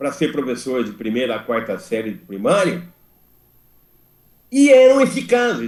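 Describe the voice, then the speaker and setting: A man's fairly high voice with very wide pitch swings, a fairly slow pace and long, frequent pauses. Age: 70s. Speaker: school principals' union member. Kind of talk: meeting discussion. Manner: halting, repeats words.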